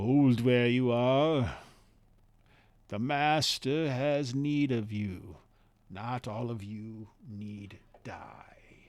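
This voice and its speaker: Putting on a character voice, a man speaks very slowly at a medium pitch, with long, frequent pauses and big swings in loudness. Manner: monotone, flat.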